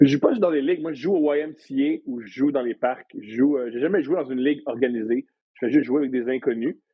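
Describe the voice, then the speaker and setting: Fairly quick and fairly high-pitched, this man speaks with ordinary pitch variation. He has an unremarkable speaking voice. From Quebec, Montreal. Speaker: comedian and podcast host. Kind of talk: casual chat. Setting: studio.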